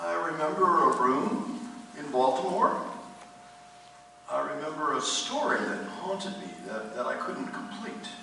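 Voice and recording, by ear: A man does a put-on character voice that is fairly high-pitched, bright and sharp, with vocal fry and lively intonation, at a fairly slow pace in strong room echo.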